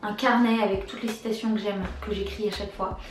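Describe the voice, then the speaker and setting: A woman speaks at a fairly high pitch over noticeable background noise. The room echo is audible. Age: 20s. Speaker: YouTuber. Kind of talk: casual tag video answering questions.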